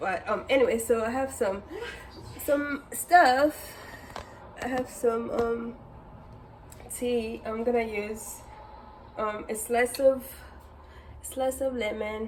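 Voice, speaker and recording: A woman with a Congolese accent, very slow, fairly even in intonation, with long, frequent pauses and noticeable background noise. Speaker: lifestyle and cooking vlogger. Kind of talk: casual vlog tutorial. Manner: hesitant, many fillers.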